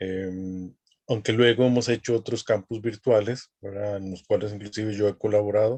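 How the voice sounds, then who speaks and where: A man's fairly low, dark, mellow voice, fairly slow, in monotone, flat intonation. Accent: Costa Rican. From Costa Rica. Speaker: academic dean and youth ministry lecturer. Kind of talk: online lecture.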